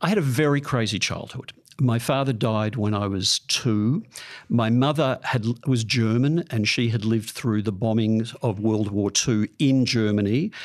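With an Australian accent, a man talks at a fairly slow pace and medium pitch, his loudness very even and his pitch variation ordinary, over a quiet background. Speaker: psychologist. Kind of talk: interview. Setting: studio.

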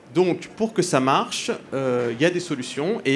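With ordinary pitch variation, a man speaks at a fairly high pitch in an unremarkable speaking voice. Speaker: economist and energy-climate expert. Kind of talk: panel discussion. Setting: stage with audience.

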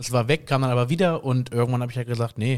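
On a very clean recording with a silent background, a man with medium pitch and fairly even intonation talks at a very fast pace. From Germany, Koblenz. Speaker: singer and photographer. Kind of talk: interview.

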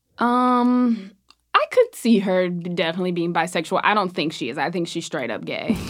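With an American accent, a woman speaks in a normal speaking voice at medium pitch and a moderate pace, her intonation lively. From US South. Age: 20s. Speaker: comedian. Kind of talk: casual chat.

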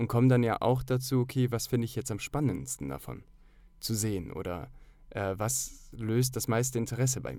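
This man speaks at a moderate pace in a medium pitch with a dark, mellow tone and ordinary pitch variation, on a very clean recording with a silent background. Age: 30s. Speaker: actor and filmmaker. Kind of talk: casual chat.

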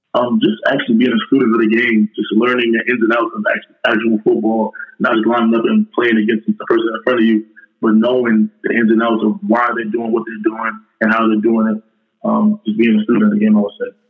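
Male speaker with a New York accent at a fairly quick pace. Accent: New York City. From Far Rockaway, Queens, New York City. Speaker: college football player. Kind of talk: casual interview.

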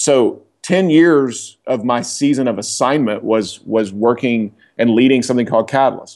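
In a normal speaking voice, a man with an American accent talks at a moderate pace and medium pitch, with ordinary pitch variation, very even loudness and a quiet background. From Oklahoma. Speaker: leadership consultant and author. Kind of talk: interview. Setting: call.

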